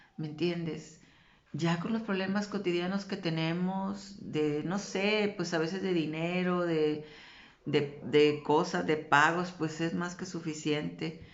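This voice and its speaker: Speaking very slowly with fairly even intonation, a woman with a fairly low pitch is heard amid audible room echo. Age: 60s. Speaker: religious vlogger. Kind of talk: religious talk.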